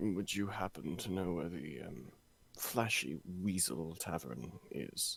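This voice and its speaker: Putting on a character voice, a man speaks fairly slowly in a very deep, low pitch with lively intonation. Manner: polite, in character.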